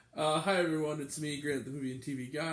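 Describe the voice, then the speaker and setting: A man speaks with a fairly high pitch. The room gives his voice an audible echo. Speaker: movie reviewer. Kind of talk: casual video review. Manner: hesitant, many fillers.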